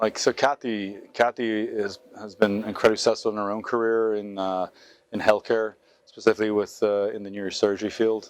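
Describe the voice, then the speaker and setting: A man with an American accent, a fairly low, monotone, flat voice, a fairly quick pace, and big swings in loudness over a quiet background. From Ireland, Galway. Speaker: restaurateur. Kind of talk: interview.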